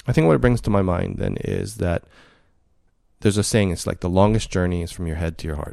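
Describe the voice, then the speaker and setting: Very fast speech comes from a man with a very deep, low pitch and ordinary pitch variation, in a very clean recording with a silent background. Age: 50s. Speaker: podcast host. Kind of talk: casual interview conversation.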